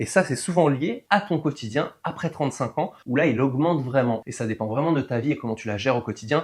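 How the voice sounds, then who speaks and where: Somewhat breathy, a man with a fairly high pitch talks at a fairly quick pace with ordinary pitch variation and hardly any pauses. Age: 40s. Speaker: weight loss coach. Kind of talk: tutorial. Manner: casual.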